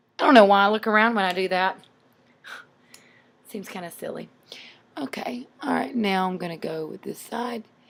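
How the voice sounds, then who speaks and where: Her pitch medium with ordinary variation, a woman talks at a moderate pace with big swings in loudness and long, frequent pauses. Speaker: makeup tutorial vlogger. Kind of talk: tutorial. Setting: at home.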